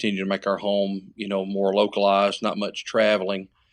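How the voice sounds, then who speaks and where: With a Tennessee accent, a man of fairly low pitch speaks at a moderate pace over a quiet background. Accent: Southern US (Tennessee). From US South, West Tennessee. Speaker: preacher and paramedic. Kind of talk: casual podcast interview.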